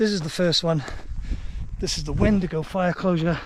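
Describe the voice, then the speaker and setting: With a Welsh accent, a man speaks at a moderate pace in a high pitch with fairly even intonation, and noticeable background noise runs underneath. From Wales. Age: 50s. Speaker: long-distance hiker vlogger. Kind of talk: vlog narration. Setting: outdoors on a hiking trail.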